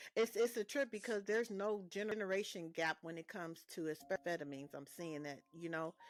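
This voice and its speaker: At a fairly quick pace with hardly any pauses, a woman at medium pitch uses an ordinary speaking voice with ordinary pitch variation and big swings in loudness, the sound dry and close with no echo. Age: 50s. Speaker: podcast host. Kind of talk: interview.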